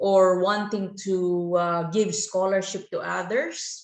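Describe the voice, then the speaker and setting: Speaking in a Filipino accent, this is a woman. Her pitch sits in the medium range. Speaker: gaming YouTuber. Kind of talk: video commentary. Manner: hesitant, many fillers.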